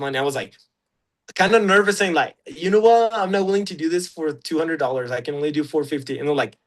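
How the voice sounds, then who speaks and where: A man with a Mexican accent, fairly high pitch and lively intonation. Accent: Mexican Spanish accent, natural. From Mexico, Chihuahua. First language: Spanish. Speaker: UGC content creator. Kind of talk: casual interview. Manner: halting, many fillers and restarts.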